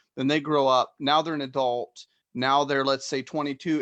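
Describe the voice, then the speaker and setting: An ordinary speaking voice at a moderate pace, dry and close with no echo against a quiet background. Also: man. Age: 30s. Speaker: podcast host. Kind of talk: casual chat. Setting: live stream.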